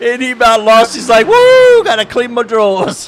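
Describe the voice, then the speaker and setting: Behind this man's speech, background noise is clearly audible. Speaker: sim racing stream host. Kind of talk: casual chat. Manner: quiet, low-volume speech.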